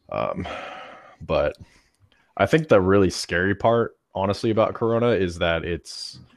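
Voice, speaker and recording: With long, frequent pauses, a man talks at a fairly slow pace on a very clean recording with a silent background. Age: 20s. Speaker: gaming podcast co-host. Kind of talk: casual chat.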